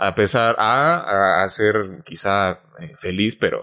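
The recording of this man speaking is very clean, with a silent background. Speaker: podcast host. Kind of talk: casual chat. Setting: studio.

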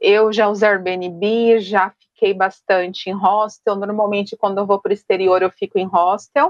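A woman speaks at medium pitch and a moderate pace in a monotone, flat way, with very even loudness and hardly any pauses. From São Paulo, Brazil. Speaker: human resources professional, solo traveler. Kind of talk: podcast interview.

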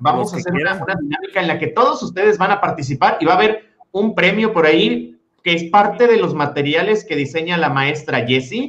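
Lively in intonation, a man with a high voice speaks at a fairly quick pace. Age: 30s. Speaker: podcast co-host, teacher. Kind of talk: interview. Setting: video call livestream.

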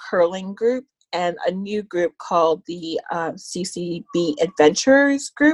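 A woman with a Canadian accent speaks in a normal speaking voice at a medium pitch. Her intonation is lively, and the sound is dry and close with no echo. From Canada, Ontario (Scarborough). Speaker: visually impaired guest, social service worker. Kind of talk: interview.

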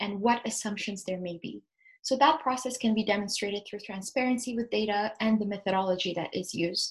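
A woman speaks at a fairly quick pace in a fairly high, somewhat breathy voice. Her pitch varies in an ordinary way against a quiet background. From Ethiopia, Addis Ababa. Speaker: development officer and consultant. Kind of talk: interview.

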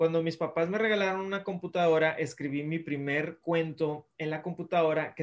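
His pace is moderate. The man's intonation is fairly even. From Mexico, Monterrey. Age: 30s. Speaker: children's author. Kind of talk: interview. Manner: friendly, casual.

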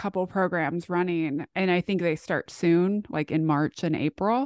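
A woman with a plain, everyday voice speaks at a medium pitch and moderate pace, with ordinary pitch variation, in a dry, close sound with no echo against a quiet background. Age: 30s. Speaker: communication professor and dating coach. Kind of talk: casual chat.

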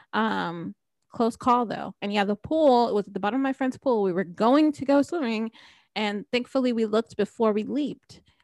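A normal speaking voice from a woman, fairly high in pitch, with ordinary pitch variation at a moderate pace, dry and close with no echo, on a very clean recording over a silent background. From New Jersey. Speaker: podcast host. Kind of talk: casual chat; scripted outro.

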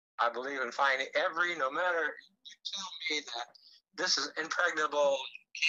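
With an American accent, a man speaks at a fairly slow pace in a fairly high pitch and a bright, sharp tone. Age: 70s. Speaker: wrestling promoter and local TV host. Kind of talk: casual chat. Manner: halting.

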